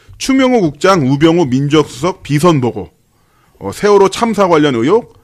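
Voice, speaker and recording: Very wide pitch swings from a man at a moderate pace. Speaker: news anchor co-host. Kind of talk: political talk show discussion. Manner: animated.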